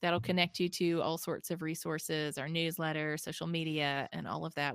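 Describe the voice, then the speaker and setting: A woman with a Southern US accent and a fairly low pitch, in a dry, close sound with no echo on a very clean recording with a silent background. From US South, Mississippi. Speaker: nonprofit founder and author. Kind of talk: interview conversation.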